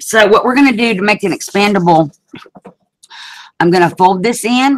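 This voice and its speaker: In a strong Southern accent, a woman talks at a moderate pace. Her medium pitch carries lively intonation. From US South (Alabama). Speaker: craft video host. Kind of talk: craft tutorial livestream. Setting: video hangout livestream. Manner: casual, chatty.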